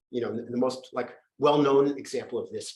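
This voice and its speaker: A man speaks very fast, and audible room echo surrounds his voice. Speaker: professor and medical historian. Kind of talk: lecture. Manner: halting, many false starts.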